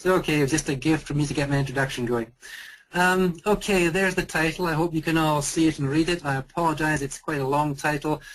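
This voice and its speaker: At a very fast pace, a man with a fairly high pitch and a Scottish accent keeps his intonation fairly even. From Scotland. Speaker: volcanologist. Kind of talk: lecture. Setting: video call.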